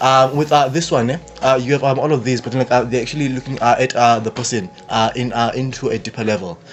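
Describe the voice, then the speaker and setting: A man at a very fast pace, fairly even intonation, noticeable background noise behind him. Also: medium pitch for a man. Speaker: youth podcast panelist. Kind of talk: casual discussion. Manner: halting, many fillers.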